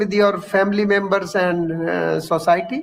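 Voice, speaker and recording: A man with a high voice speaks at a moderate pace. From India, Haryana village near Delhi. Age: 70s. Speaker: Ayurveda practitioner and school founder. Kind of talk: interview answer.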